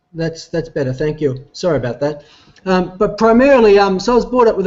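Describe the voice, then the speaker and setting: Here a man talks at a fairly quick pace in an Australian accent. His pitch variation is ordinary. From Australia, Melbourne area. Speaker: company CEO. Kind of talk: business presentation. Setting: online video call while traveling. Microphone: echo and weak internet connection.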